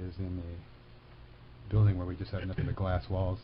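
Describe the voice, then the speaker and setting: A somewhat breathy male voice. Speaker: college radio host. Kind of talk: radio interview. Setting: studio.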